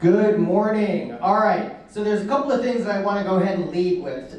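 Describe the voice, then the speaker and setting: An energetic man speaks with audible room echo and noticeable background noise. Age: 40s. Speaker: marketing agency owner, speaker. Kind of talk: presentation to business group. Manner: fast.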